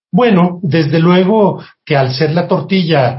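The man's voice is somewhat breathy. He speaks at a very slow pace with ordinary pitch variation. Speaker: food historian. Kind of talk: interview.

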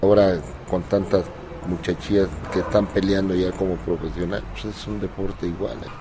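The speaker talks at a moderate pace with ordinary pitch variation. Noticeable background noise sits behind the voice. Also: man, very deep, low pitch for a man. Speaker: boxing coach, former boxer. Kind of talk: interview.

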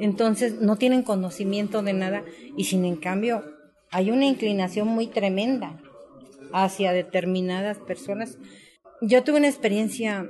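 A woman at a medium pitch speaks at a fairly slow pace with ordinary pitch variation. Music plays in the background. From Mexico, Tlaltizapán, Morelos. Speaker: former guerrilla militant and author. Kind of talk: testimony.

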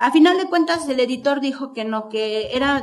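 A high-pitched woman's voice at a moderate pace, with ordinary pitch variation and noticeable background noise. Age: 50s. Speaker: author. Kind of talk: book presentation speech. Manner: halting.

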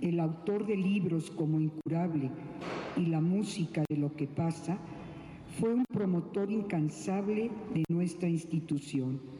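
Very slow delivery at a very even volume, ordinary pitch movement, and noticeable background noise. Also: woman. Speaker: cultural institution director. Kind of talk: tribute speech. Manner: formal.

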